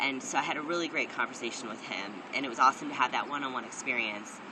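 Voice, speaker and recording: This man talks at a very fast pace, with noticeable background noise behind his voice. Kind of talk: personal video diary. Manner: casual, many fillers and repeats.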